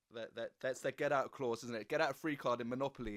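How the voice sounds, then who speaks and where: In a very clean recording with a silent background, a man speaks with an English accent. His pitch is fairly high and his pace very fast. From England. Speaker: podcast host. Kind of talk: interview.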